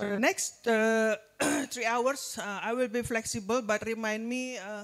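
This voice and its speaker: Using a monotone, flat intonation, a woman with an Indonesian accent speaks at a fairly slow pace and fairly high pitch. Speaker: nutrition and public health expert, guest lecturer. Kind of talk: lecture. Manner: halting, many fillers.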